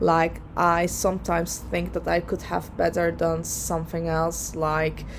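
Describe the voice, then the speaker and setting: A woman with a Dutch accent talks at a fairly slow pace, with hardly any pauses. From Netherlands. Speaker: lawyer and vlogger. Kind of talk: personal vlog advice. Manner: hesitant, many fillers.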